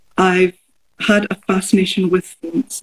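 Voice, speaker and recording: The voice comes in a Glaswegian accent and sounds somewhat breathy. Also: woman, dry, close sound with no echo. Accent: Glaswegian Scottish. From Scotland, Glasgow. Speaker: artist. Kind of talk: casual chat. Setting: video call from studio.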